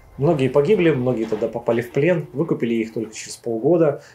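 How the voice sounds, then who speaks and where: Faint music sits in the background. A man speaks at a fairly quick pace. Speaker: travel video host. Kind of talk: lecture. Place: home room.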